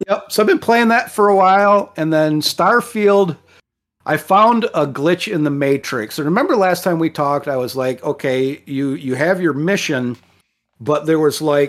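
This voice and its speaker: A man's normal speaking voice, fairly high in pitch, with lively intonation and a moderate pace. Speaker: podcast host, property contractor overseer. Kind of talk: casual chat. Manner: casual, talkative.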